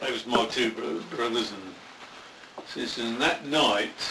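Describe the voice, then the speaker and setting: Noticeable background noise sits behind a man with a West Midlands accent. He talks at a medium pitch and a moderate pace. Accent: Coventry English. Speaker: war veteran. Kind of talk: interview answer. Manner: casual, profane storytelling.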